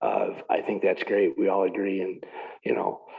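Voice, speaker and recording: Through noticeable background noise, a man speaks with an American accent. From upstate New York. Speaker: town board applicant. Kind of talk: interview. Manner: loud.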